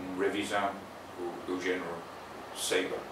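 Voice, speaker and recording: Amid noticeable background noise and audible room echo, a man speaks with an English accent. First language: English (speaking Portuguese). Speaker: botanist. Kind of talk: interview. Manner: halting.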